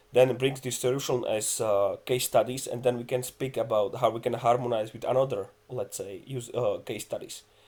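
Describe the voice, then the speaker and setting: Somewhat breathy and at a moderate pace, a man speaks at a medium pitch with monotone, flat intonation. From Czech Republic. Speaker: metrology expert, task group lead. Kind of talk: online conference panel discussion.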